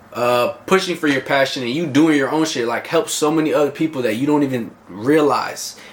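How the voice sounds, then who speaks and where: A man's voice over noticeable background noise. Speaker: vlogger and fitness coach. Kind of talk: casual motivational vlog monologue. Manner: loud, animated.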